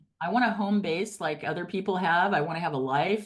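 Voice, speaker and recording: A woman with an unremarkable speaking voice talks at a fairly quick pace, her fairly low pitch carried by lively intonation. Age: 60s. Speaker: real estate agent. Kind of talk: interview.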